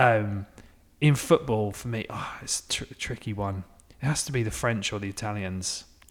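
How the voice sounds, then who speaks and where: On a very clean recording with a silent background, a man with an English accent speaks at a moderate pace and fairly low pitch, with ordinary pitch variation and big swings in loudness. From England. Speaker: football podcast co-host. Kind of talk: casual chat.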